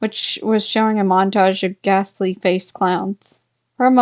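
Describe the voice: Here is plain reading aloud with fairly even intonation. The background is quiet.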